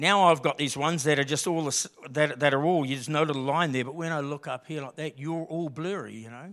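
A man with an Australian accent talks at a fairly quick pace with fairly even intonation on a very clean recording with a silent background. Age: 50s. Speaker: lay preacher. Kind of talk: sermon. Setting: church. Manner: casual, conversational.

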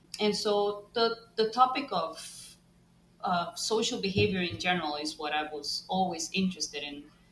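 A woman with a Costa Rican accent, medium pitch, lively intonation and a moderate pace, over noticeable background noise. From Costa Rica, San José. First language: Spanish. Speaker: bat ecologist and professor. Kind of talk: interview.

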